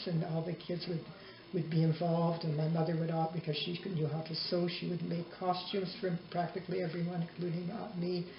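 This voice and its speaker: Amid noticeable background noise and audible room echo, a woman talks at a fairly quick pace in a fairly low pitch with monotone, flat intonation. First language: Yiddish. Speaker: interviewee, mother. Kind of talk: family oral history interview.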